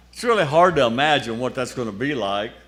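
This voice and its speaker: A man speaks at a moderate pace with lively intonation. Audible room echo is present. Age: 80s+. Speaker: lay speaker at church festival. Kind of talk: sermon.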